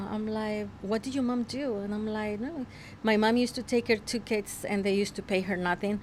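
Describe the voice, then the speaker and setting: Speaking with a Spanish accent, a woman talks at a fairly quick pace in a fairly high voice. Her intonation is fairly even. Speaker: realtor and entrepreneur. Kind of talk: interview. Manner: halting.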